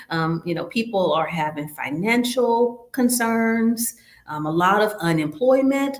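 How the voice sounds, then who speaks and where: A woman with an American accent, fairly high-pitched, speaking fairly slowly with very wide pitch swings. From US South. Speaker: nurse educator hosting a health webinar. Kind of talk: quiz review in an online webinar.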